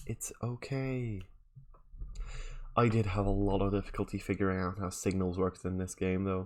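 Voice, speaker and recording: A man with a Dutch accent talks with fairly even intonation at a fairly low pitch. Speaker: video game streamer. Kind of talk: live gameplay stream commentary. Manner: casual, thinking aloud with fillers.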